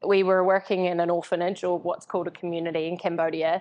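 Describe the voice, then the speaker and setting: This woman speaks with a strong New Zealand accent. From New Zealand, Invercargill (far south). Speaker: entrepreneur, coaching company founder. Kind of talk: live interview on stage. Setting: live event with audience. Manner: casual, with many fillers.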